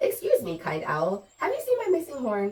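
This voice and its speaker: A woman's squeaky, put-on character voice at an extremely high pitch and a moderate pace. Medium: read story. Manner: gentle, polite.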